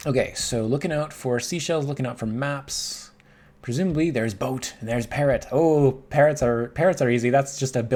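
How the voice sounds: The speaker uses a natural reading voice. Pitch variation is ordinary.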